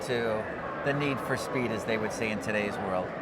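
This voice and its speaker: Man at a moderate pace amid audible room echo and noticeable background noise. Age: 60s. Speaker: car show interviewer. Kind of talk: interview. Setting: car show floor. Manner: animated.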